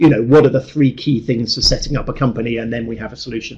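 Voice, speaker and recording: A man speaks with ordinary pitch variation in a somewhat breathy voice. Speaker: actuarial tutor. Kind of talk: webinar presentation. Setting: online webinar. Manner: fast; hesitant fillers.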